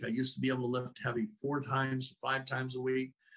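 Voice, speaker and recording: A man speaks with an American accent at a medium pitch. He keeps a fairly quick pace. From Arizona. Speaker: product spokesman. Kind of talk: sales presentation. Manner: animated.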